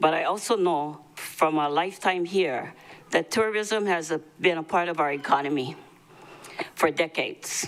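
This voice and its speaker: Speaking at a fairly slow pace, a woman with a Hawaiian accent uses a fairly low pitch. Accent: Hawaii local English. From Hawaii, Maui. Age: 70s. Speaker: public testifier. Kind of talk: public testimony. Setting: county council meeting.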